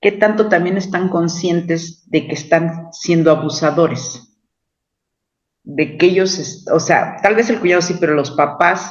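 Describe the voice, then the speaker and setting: Pitched high, a man talks at a fairly slow pace. His intonation stays fairly even. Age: 60s. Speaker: book club participant. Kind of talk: book club discussion.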